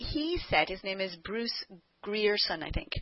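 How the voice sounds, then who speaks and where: Using a normal speaking voice, a woman keeps a moderate pace and lively intonation. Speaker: podcast host. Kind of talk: interview questions.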